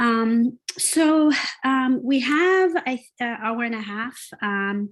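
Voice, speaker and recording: A high-pitched woman's voice with a Jamaican accent, very slow pace and ordinary pitch variation. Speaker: workshop facilitator and business owner. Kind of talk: online workshop presentation. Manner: halting, many filler sounds.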